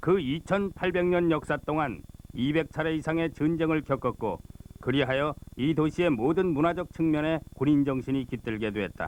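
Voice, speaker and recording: Here is a man with an unremarkable speaking voice and ordinary pitch variation. He talks at a moderate pace. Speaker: voice actor. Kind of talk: documentary narration.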